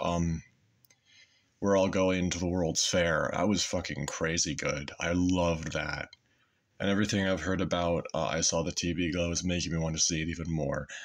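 Over light background noise, a man delivers his words at a moderate pace with a very deep, low pitch and a monotone, flat intonation. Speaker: YouTuber. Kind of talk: casual monologue. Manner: halting with many fillers. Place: home room. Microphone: phone near.

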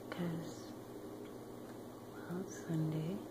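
A soft-spoken whisper at a very slow pace over loud background noise. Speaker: spiritual energy vlogger. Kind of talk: casual vlog chat. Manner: soft close whisper. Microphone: phone near.

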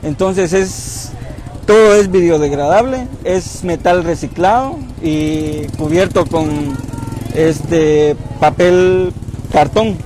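A man speaks at a very slow pace in a high voice with ordinary pitch variation, the sound dry with no echo and a little background noise. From Jacaltenango, Huehuetenango, Guatemala. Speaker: sculptor. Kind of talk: interview. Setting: outdoors at night in town park. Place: street. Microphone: lapel.

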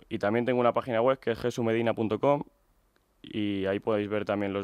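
An unremarkable speaking voice moves at a fairly quick pace with fairly even intonation. The sound is dry with no echo, over a quiet background. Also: man. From Spain, Medina del Campo (Castile and León); Castile and León, Spain. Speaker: illustrator and graphic designer; interviewee. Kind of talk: radio interview. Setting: radio studio. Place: studio.

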